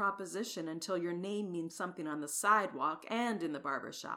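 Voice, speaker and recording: A woman's bright, sharp, animated tone with lively intonation, on a very clean recording with a silent background. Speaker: actress voicing characters. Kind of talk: dramatized reading of dialogue. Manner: animated, bold, teasing.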